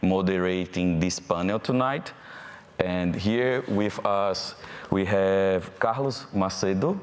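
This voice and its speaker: A man's very deep, low voice with a Brazilian accent, at a very slow pace, with ordinary pitch variation and very even loudness. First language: Portuguese. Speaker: panel moderator. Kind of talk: panel discussion moderation; reading aloud.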